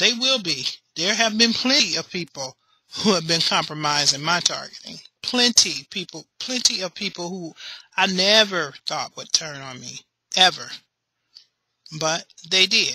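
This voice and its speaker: A woman at medium pitch speaks at a moderate pace with lively intonation and long, frequent pauses. Her loudness swings widely, and the sound is dry and close with no echo. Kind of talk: casual talk to camera.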